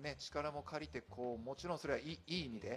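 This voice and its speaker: A man is speaking here. His pace is fairly quick. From Fukushima, Japan (Nishigo village). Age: 40s. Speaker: trail running athlete. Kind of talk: casual chat.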